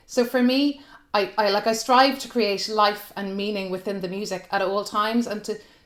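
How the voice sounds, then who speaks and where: Speaking with an Irish accent, a woman keeps a moderate pace and fairly even intonation. The recording is very clean, with a silent background. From Ireland. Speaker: soprano singer. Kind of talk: panel discussion. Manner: halting.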